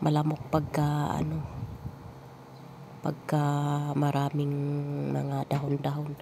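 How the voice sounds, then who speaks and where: A woman speaks at a very slow pace with a very deep, low pitch. Noticeable background noise is present. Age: 50s. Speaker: vlogger and grandmother. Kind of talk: casual vlog talk.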